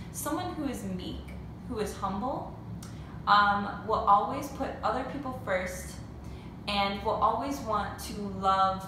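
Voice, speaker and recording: A woman is speaking. Noticeable background noise and audible room echo fill the recording. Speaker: teacher. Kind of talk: lesson for children. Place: home room. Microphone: phone near.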